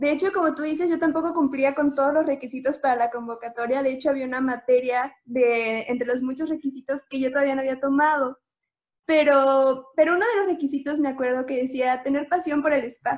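At a fairly quick pace, a woman speaks at a high pitch with fairly even intonation. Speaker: engineering student. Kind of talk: interview.

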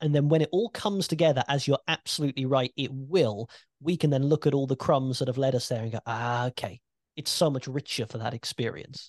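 Recorded dry and close with no echo against a quiet background, a man with a British accent talks at a fairly quick pace with a fairly high pitch and ordinary pitch variation. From UK. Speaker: podcast host and wrestling commentator. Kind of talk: casual chat. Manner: animated.

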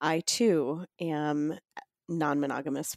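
The woman's voice sits at fairly low pitch, with a dry, close sound and no echo. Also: very clean recording, silent background. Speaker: podcast host. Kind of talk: casual interview chat. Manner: animated.

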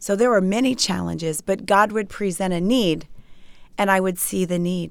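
A woman speaks at medium pitch and a moderate pace, with ordinary pitch variation, in a normal speaking voice. The recording is very clean, with a silent background. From Maryland, US. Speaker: author, speaker and TV host. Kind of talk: interview.

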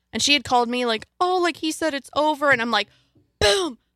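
A raised, projected voice with a bright, sharp and animated tone comes through a very clean recording with a silent background, the sound dry and close with no echo. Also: woman. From rural area. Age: 20s. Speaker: podcast guest. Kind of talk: casual chat.

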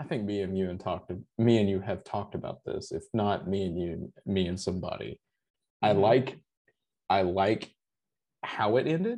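A man with an American accent, fairly low-pitched, with a dark, mellow tone, ordinary pitch variation, a moderate pace and long, frequent pauses. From US South. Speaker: guest. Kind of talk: casual chat. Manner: rambling, filler words.

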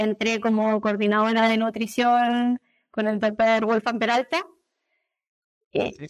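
This woman has a Chilean accent. She talks at a fairly slow pace. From Chile, Viña del Mar. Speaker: animal nutritionist. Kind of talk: interview.

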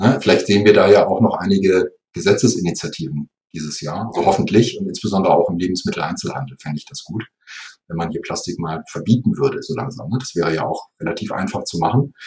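Talking very fast, a man's voice swings widely in loudness. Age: 50s. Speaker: software company executive. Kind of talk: interview.

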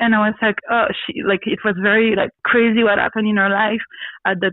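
A woman in a Belgian French accent speaks at a fairly quick pace with a fairly high pitch. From Belgium (born Brussels, grew up in a village). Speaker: radio host and actress. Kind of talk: testimony. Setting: video call. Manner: animated, frequently laughing.

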